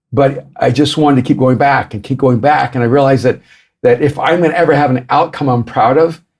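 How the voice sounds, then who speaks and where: Speaking at a fairly quick pace, a man with an ordinary speaking voice keeps his fairly high pitch under fairly even intonation. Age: 60s. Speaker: author and pastor. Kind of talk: podcast interview.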